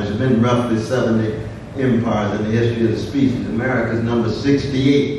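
A man at a moderate pace with fairly even intonation, strong room echo and noticeable background noise. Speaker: keynote speaker. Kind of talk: speech. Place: hall.

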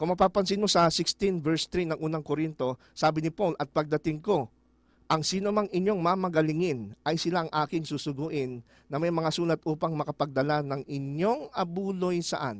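Recorded very clean against a silent background, a plain, everyday voice moves at a moderate pace with ordinary pitch variation in a dry, close sound with no echo. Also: man, fairly high pitch for a man. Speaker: Bible study teacher. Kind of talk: Bible study discussion.

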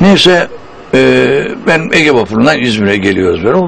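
Medium-pitched male speech at a moderate pace, with very wide pitch swings, over noticeable background noise. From Turkey. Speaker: stage and voice actor. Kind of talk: anecdotal interview storytelling.

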